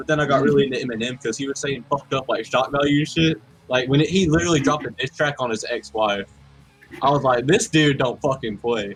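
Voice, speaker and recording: A man talks at a very fast pace in a fairly high pitch, with ordinary pitch variation and noticeable background noise. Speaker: music collective member. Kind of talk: casual chat.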